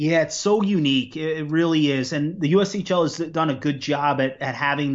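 With an American accent, a man delivers an unremarkable speaking voice at a moderate pace with ordinary pitch variation. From Long Island, New York. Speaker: college hockey assistant coach. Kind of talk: interview.

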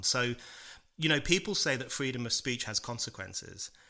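With a British accent and a bright, sharp tone, a man speaks on a very clean recording with a silent background. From UK. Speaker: author and political writer. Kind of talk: interview.

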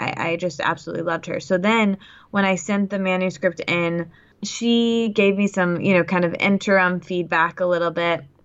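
A woman with an unremarkable speaking voice talks at a moderate pace, with medium pitch and fairly even intonation. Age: 20s. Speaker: author and podcast host. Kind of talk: casual interview.

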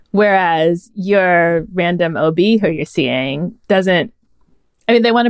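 A woman speaks in a plain, everyday voice with an American accent, her pitch fairly low and its variation ordinary. The sound is dry and close, with no echo. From Northern California. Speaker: advice columnist. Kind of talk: casual chat.

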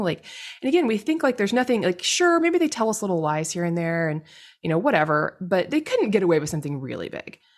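In an American accent, a woman talks very fast with an animated tone and very wide pitch swings. The background is quiet. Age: 40s. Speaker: podcast host. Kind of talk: solo commentary.

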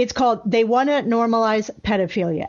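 A woman at a moderate pace, her fairly high voice showing ordinary pitch variation. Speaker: radio host. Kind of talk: conservative talk radio show, opinionated monologue and interview. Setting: radio studio broadcast. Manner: energetic, sarcastic, opinionated.

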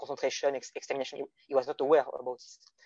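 With a French accent, a man speaks at a fairly high pitch. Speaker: guest philosophy discussant. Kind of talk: academic discussion. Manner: halting.

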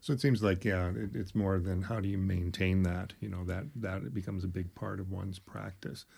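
In a very clean recording with a silent background, a man with a very deep, low pitch and a dark, mellow, somewhat breathy tone talks at a fairly quick pace with hardly any pauses and ordinary pitch variation. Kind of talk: casual conversation.

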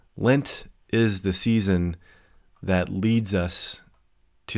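The recording is very clean, with a silent background. A man speaks in a very deep, low pitch with ordinary pitch variation. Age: 40s. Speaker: podcast host and seminary student. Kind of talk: reading aloud; casual chat. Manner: halting.

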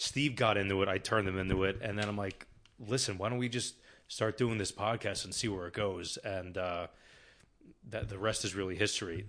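A man with an American accent talks at a moderate pace in a plain, everyday voice over a quiet background. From New Jersey. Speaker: podcast co-host. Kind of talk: casual chat.

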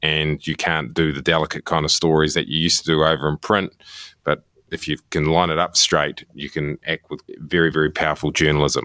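A man with a very deep, low pitch talks fairly quickly in a monotone, flat intonation and a bright, sharp tone. The recording is very clean with a silent background and a dry, close sound with no echo. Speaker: TV journalist. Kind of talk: casual interview. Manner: halting, repeats words.

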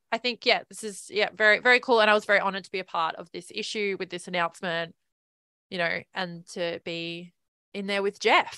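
A woman's medium-pitched voice with a bright, sharp tone, fairly even intonation and big swings in loudness at a fairly quick pace. The sound is dry and close with no echo, over a quiet background. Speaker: film photographer and co-host. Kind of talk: casual chat. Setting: live stream. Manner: laughs often.

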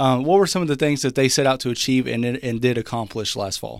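An ordinary speaking voice from a man with an American accent, medium in pitch with ordinary pitch variation. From Texas, Dallas suburbs. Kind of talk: news reading and interview. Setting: studio.

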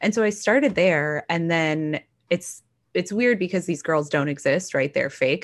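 A normal speaking voice moves at a fairly slow pace with lively intonation. Its loudness stays very even. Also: woman, fairly low pitch for a woman. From Texas. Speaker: novelist and features writer. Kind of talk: casual interview chat.

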